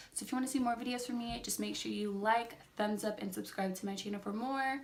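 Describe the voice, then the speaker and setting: A woman speaks at a fairly high pitch with ordinary pitch variation. Room echo can be heard. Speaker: beauty vlogger. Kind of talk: makeup review vlog. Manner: fast; words jumbled, tongue-tied.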